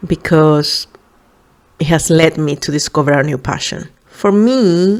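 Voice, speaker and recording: A woman's very deep, low pitch in a Spanish accent, with ordinary pitch variation at a fairly slow pace. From Venezuela. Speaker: podcast host, psychologist. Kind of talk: casual podcast monologue. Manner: hesitant, many fillers.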